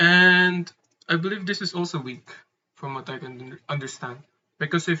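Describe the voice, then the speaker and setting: A man with a non-native accent speaks at a moderate pace in a high pitch, with ordinary pitch variation. His pauses are long and frequent, and his loudness swings widely. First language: not English. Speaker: amateur chess player explaining puzzles. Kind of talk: tutorial. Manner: halting, with frequent fillers and repeats.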